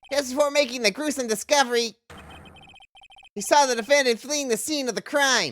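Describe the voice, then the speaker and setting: In a put-on, nasal character voice with ordinary pitch variation, the speaker moves at a fairly quick pace but leaves long, frequent pauses. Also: man, extremely high pitch for a man. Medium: virtual streamer. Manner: pompous.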